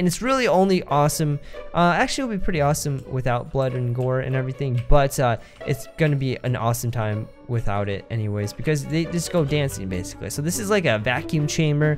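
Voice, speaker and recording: Faint music sits in the background as a man speaks fairly quickly. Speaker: gaming video creator. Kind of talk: gameplay commentary.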